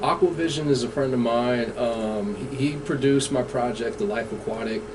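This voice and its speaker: A man with an American accent talks at a moderate pace and medium pitch, with noticeable background noise and audible room echo. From California, Bay Area. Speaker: hip-hop artist. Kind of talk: radio interview. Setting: radio studio.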